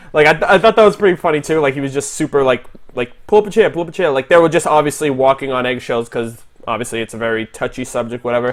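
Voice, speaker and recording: With a Boston accent, a man with a fairly high voice talks very fast and with lively intonation. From Boston, Massachusetts. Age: 20s. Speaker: YouTuber reviewing animated series. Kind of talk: livestream discussion. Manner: animated.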